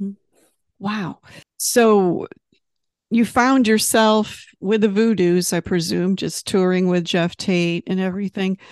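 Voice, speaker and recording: In a normal speaking voice, a woman talks fairly slowly at a medium pitch with fairly even intonation. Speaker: magazine interviewer. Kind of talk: casual interview chat.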